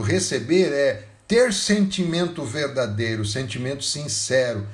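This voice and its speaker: Audible room echo surrounds a man with a fairly high, somewhat breathy voice. His pitch swings very widely. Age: 60s. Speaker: pastor. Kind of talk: sermon.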